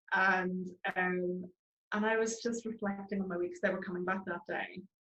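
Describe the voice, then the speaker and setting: A woman is speaking. She has a Northern Irish accent. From Northern Ireland, Belfast. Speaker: charity founder. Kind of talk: interview. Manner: hesitant, many fillers.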